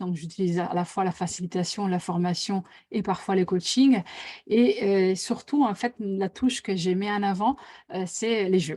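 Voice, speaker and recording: With an Italian accent, a woman talks fairly slowly at medium pitch with ordinary pitch variation and a dark, mellow tone. The recording is very clean, with a silent background. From Italy. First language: Italian (speaking French). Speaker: facilitator and author. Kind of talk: live interview. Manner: hesitant, many fillers.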